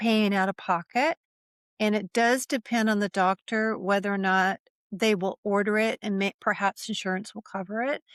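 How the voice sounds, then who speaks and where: A woman with an ordinary speaking voice at a medium pitch and moderate pace, fairly even intonation, and a dry, close sound with no echo over a quiet background. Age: 60s. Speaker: functional medicine practitioner and menopause educator. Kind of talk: casual interview conversation.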